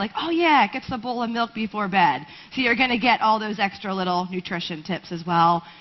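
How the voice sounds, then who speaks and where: Moving at a fairly quick pace, a woman's fairly high voice makes very wide pitch swings against noticeable background noise. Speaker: veterinary nutritionist. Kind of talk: conference lecture. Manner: fast.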